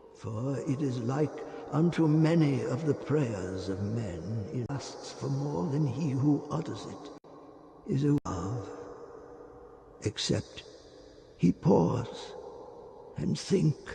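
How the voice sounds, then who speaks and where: A man speaks in a put-on character voice with lively intonation at a very slow pace. He leaves long, frequent pauses, and clear background noise runs underneath. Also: fairly high pitch for a man. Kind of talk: biblical sermon. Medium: read story. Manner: solemn, preacher-like, measured.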